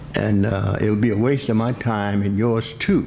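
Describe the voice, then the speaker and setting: Amid noticeable background noise, a man speaks at a moderate pace in a fairly low voice with ordinary pitch variation. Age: 80s+. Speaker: certified public accountant. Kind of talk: speech to an audience, personal stories. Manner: hesitant, conversational.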